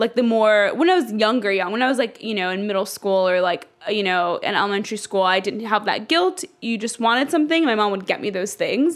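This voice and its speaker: Over noticeable background noise, a woman with a fairly high pitch talks at a fairly quick pace with lively intonation and hardly any pauses. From Dallas, Texas (born in Ethiopia). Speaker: interviewee, friend of host. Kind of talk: interview. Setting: apartment.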